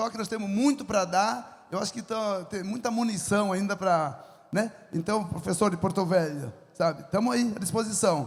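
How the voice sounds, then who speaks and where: This man has a high pitch and an animated tone. His pitch variation is ordinary. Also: moderate pace. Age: 70s. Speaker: farmer and entrepreneur. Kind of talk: lecture with audience Q&A.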